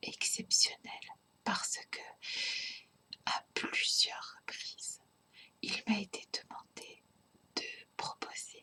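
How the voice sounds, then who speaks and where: The speaker whispers very slowly, with long pauses coming often. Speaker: tarot card reader. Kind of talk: ASMR tarot reading. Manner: whispered.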